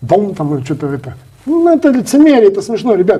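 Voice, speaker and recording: A man talks at a very fast pace. His pitch swings very widely. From Yakutia, Russia. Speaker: Russian community representative. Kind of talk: interview.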